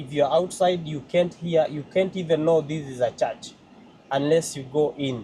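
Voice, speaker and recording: A man's fairly slow, somewhat breathy voice with a dark, mellow tone, fairly high pitch and ordinary pitch variation. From Kenya. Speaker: vlogger, church member. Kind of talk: vlog walkthrough. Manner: halting, many fillers.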